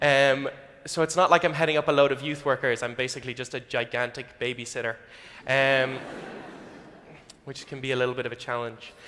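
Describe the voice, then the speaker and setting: A man's bright, sharp voice moves along at a fairly quick pace. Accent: Irish. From Ireland. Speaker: youth minister. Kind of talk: sermon.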